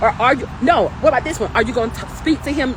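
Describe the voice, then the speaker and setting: Loud and animated, the voice races at a very fast pace over noticeable background noise. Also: woman. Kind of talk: livestream talk.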